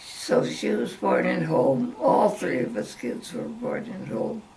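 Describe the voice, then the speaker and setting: Woman at a very slow pace amid noticeable background noise. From rural farm upbringing. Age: 90s. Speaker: farm-raised elder recounting family history. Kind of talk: interview answer.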